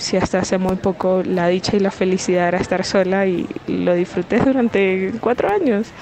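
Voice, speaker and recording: Amid noticeable background noise, a woman speaks at a medium pitch with very even loudness, fairly even intonation, and hardly any pauses. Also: moderate pace. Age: 20s. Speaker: caller sending a voice message. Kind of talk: personal question via voice note. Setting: recorded WhatsApp voice message. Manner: hesitant, with filler sounds.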